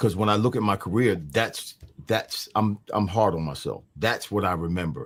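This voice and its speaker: A man with an American accent speaks in a normal speaking voice at a fairly low pitch and a moderate pace, with ordinary pitch variation, in a very clean recording with a silent background. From New Jersey, Mount Holly. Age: 60s. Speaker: former pro football player. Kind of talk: interview.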